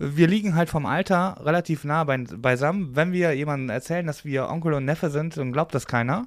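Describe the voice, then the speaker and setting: On a very clean recording with a silent background, a man uses an ordinary speaking voice, fairly high in pitch, with ordinary pitch variation, a moderate pace and hardly any pauses. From Oberbergischer Kreis, western Germany. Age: 30s. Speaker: podcast host. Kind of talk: casual interview.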